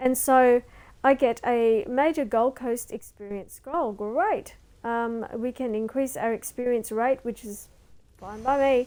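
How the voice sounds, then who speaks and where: In a very clean recording with a silent background, a woman with a high pitch speaks at a fairly slow pace, her intonation fairly even but her loudness swinging widely. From Australia. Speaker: video game streamer. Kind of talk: live-streamed game tutorial. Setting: live stream. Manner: casual, with many fillers and hesitations.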